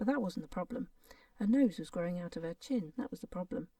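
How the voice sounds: The passage is delivered in a natural reading voice.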